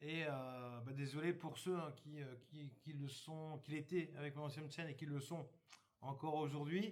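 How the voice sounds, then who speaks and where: This man's fairly high voice carries fairly even intonation, and audible room echo surrounds it. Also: fairly slow pace. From northern France, Somme (Hauts-de-France). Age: 50s. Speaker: YouTuber, campsite worker. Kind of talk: casual channel introduction. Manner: hesitant, many fillers.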